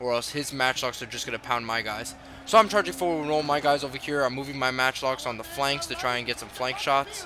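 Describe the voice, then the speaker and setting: Over noticeable background noise, a man at a medium pitch talks at a fairly quick pace. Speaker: gamer. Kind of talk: gameplay commentary. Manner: casual.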